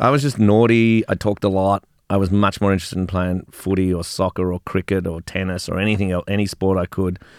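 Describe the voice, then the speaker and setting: Someone with an Australian accent talks at a very fast pace. The recording is very clean and silent behind, with a dry, close sound and no echo. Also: man, very deep, low pitch for a man. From Australia, Melbourne. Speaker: business founder. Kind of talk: casual chat. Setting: studio. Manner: animated.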